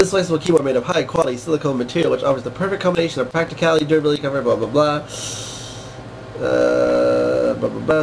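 A man talks at a very fast pace in a fairly high voice. Noticeable background noise runs underneath. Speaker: tech reviewer. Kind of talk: casual product review to camera. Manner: sarcastic, mocking.

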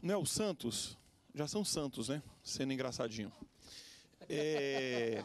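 A man with a fairly high pitch speaks at a very slow pace, leaving long, frequent pauses, with lively intonation and very even loudness. The sound is dry with no echo, over light background noise. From Brazil, Acre. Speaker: pastor and lawyer. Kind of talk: TV panel discussion. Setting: TV studio. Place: studio. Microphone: handheld.

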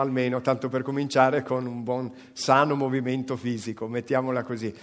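Against a quiet background, a man talks at a fairly quick pace. His tone is animated. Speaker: event presenter; presenter. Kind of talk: event hosting. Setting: stage with audience. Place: stage. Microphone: handheld.

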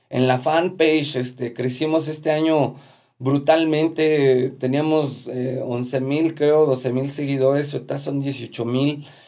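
Against a quiet background, a man with a Mexican accent speaks at a fairly slow pace in a monotone, flat intonation, his fairly high pitch carrying a dark, mellow tone. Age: 40s. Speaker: musician and video host. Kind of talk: casual live stream monologue. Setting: at home. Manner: halting, many fillers and repetitions. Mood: cheerful, grateful. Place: home room. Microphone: phone near.

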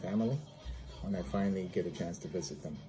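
Clear music plays in the background as a man talks with a fairly low pitch. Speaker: physical therapist vlogger. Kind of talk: casual vlog chat. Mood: upbeat, friendly. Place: home room.

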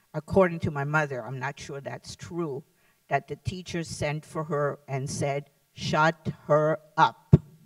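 Over a quiet background, a woman speaks very slowly in a very deep, low pitch. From Lithuania. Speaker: Holocaust survivor and former teacher. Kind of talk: testimony. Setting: stage with audience. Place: hall. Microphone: handheld.

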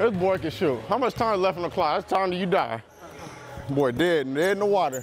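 A man talking at a fairly quick pace, the sound dry with no echo, over light background noise. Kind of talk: trash talk during a game. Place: hall.

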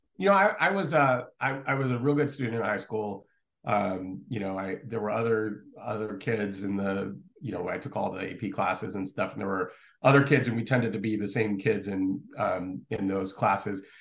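Using an ordinary speaking voice, a man talks at a moderate pace, fairly low in pitch, with ordinary pitch variation. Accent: American. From Connecticut, US Northeast. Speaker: law professor and economist. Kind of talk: casual interview.

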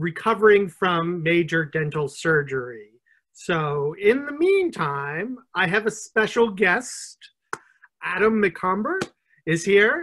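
A man speaks at a very slow pace in a bright, sharp tone. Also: quiet background. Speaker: interview host. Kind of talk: event introduction, then reading a book blurb. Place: home room. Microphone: video call.

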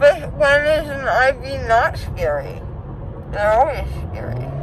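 A woman's voice sounds dry, with no echo. Light background noise is present. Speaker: vlogger. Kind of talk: casual vlog chat. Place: car. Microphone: phone near.

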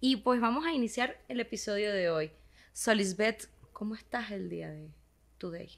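Her loudness swings widely as a woman talks at a moderate pace with lively intonation and a fairly high pitch. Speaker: podcast co-host, psychotherapist; podcast co-host. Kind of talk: casual podcast conversation. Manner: energetic, animated. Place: studio. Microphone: studio mic.

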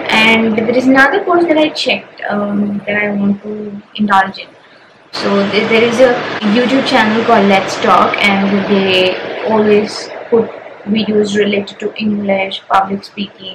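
Noticeable background noise surrounds a woman whose intonation stays fairly even. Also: fairly slow pace. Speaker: data analyst vlogger. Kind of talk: casual vlog chat. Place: home room. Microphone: camera far.

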